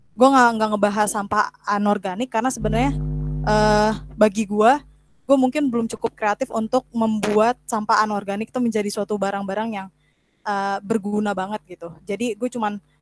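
A woman's fairly quick, fairly even-toned speech in a dry sound with no echo, with faint music in the background. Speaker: presenter. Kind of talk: informal online talk, tutorial. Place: home room. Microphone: video call.

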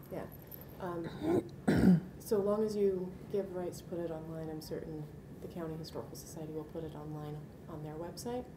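Over noticeable background noise, a woman with a fairly low voice talks at a moderate pace, her intonation fairly even and her loudness swinging widely. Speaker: archivist. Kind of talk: interview, professional explanation. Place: meeting room.

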